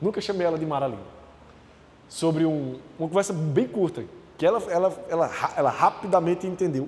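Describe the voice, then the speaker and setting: Loud and fairly quick, a man speaks in a high pitch with ordinary pitch variation, breaking often into long pauses. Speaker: preacher. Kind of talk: sermon.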